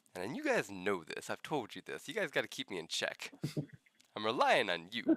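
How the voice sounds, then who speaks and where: A man talks at a fairly quick pace, his voice dry and close with no echo. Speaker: podcast co-host. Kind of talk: casual chat. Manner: halting, many fillers.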